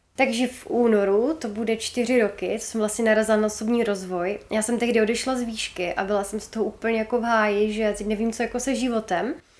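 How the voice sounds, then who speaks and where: A woman's very fast talk with hardly any pauses, fairly high in pitch and fairly even in intonation, over noticeable background noise. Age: 20s. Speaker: entrepreneur and social media creator. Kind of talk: podcast interview.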